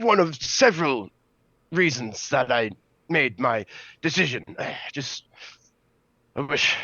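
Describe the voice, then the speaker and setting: A man's put-on character voice at a moderate pace, with very wide pitch swings. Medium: actual play. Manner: hesitant, halting, polite.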